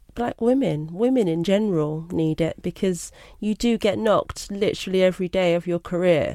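Heard on a very clean recording with a silent background, a woman's dark, mellow voice moves at a moderate pace with ordinary pitch variation. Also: dry, close sound with no echo. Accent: London. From London (Brixton), England. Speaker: graphic designer and art director. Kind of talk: interview.

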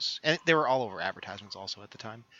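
With an American accent and a plain, everyday voice, a man speaks at medium pitch with lively intonation. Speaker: podcast co-host. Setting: remote recording.

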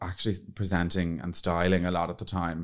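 At a moderate pace, a man with an Irish accent speaks in a very deep, low pitch, in a very clean recording with a silent background. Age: 30s. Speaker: PR agency owner and influencer. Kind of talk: casual interview chat. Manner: animated.

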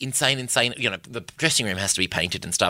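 A man with an Australian accent speaks in a bright, sharp tone and lively intonation, recorded dry and close with no echo. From Perth, Western Australia. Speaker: comedian. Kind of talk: casual chat.

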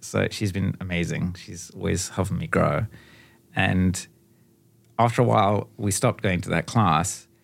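Over music in the background, a man with a very deep, low pitch speaks at a moderate pace with ordinary pitch variation and long, frequent pauses. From Namibia, near South African border. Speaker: painter. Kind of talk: casual chat. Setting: studio.

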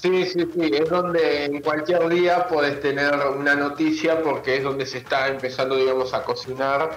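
With audible room echo and noticeable background noise, a man speaks at a moderate pace with a fairly high pitch, fairly even intonation and hardly any pauses. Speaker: carnival news correspondent. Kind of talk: radio segment, events roundup. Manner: halting, filler words.

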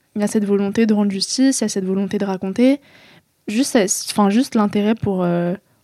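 At a fairly quick pace, a woman speaks with a dark, mellow tone, a medium pitch and ordinary pitch variation. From France. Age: 20s. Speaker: author. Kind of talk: interview. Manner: halting.

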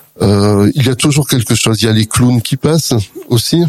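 Recorded with a dry, close sound and no echo, a man talks at a medium pitch and a moderate pace. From southern France, Perpignan. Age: 50s. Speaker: author and charity president. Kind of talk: radio interview. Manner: hesitant, frequent fillers.

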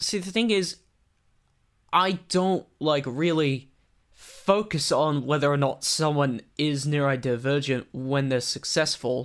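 The speaker has an American accent. The delivery is very slow. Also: man, fairly high pitch for a man, ordinary pitch variation. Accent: Australian with American twang. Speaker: guest. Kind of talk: casual interview chat. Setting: video call from his room.

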